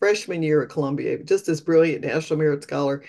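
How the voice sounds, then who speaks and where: A woman with an American accent talks very fast in a very deep, low, dark and mellow voice. The background is quiet. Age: 60s. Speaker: dentist and death doula. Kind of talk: interview. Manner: halting.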